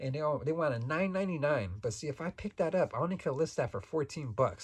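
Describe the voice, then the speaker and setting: Over a quiet background, a man speaks at a very fast pace with lively intonation and a somewhat breathy voice. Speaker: toy reseller and YouTuber. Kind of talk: casual vlog talk. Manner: relaxed; halting.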